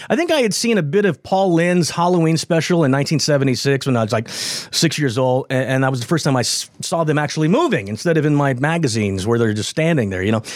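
Noticeable background noise sits behind a man with a fairly high pitch and lively intonation. He talks at a fairly quick pace with very even loudness. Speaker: radio host. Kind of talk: casual chat.

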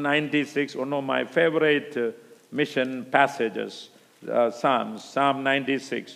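Someone speaks at a very slow pace with an Indian accent. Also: man. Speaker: preacher at missions conference. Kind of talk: sermon. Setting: church conference stage with audience.

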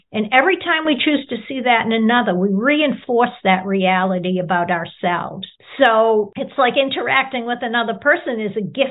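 A woman's unremarkable speaking voice, fairly high in pitch, with an American accent, lively intonation, a moderate pace and hardly any pauses. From Boston area, US. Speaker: nonprofit founder and author. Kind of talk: interview.

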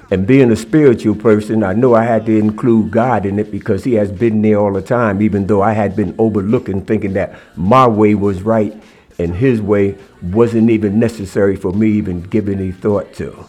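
Music plays in the background as a man speaks at a fairly low pitch. He keeps a moderate pace and fairly even intonation. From New Jersey. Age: 70s. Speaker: guest, former inmate and youth-awareness speaker. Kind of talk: interview, personal testimony. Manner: reflective, earnest.

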